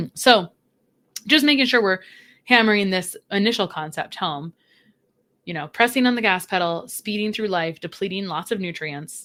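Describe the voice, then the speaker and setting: On a very clean recording with a silent background, a woman of medium pitch sounds animated, with a bright, sharp tone, lively intonation and long, frequent pauses. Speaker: registered dietitian. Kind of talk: podcast interview. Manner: fast.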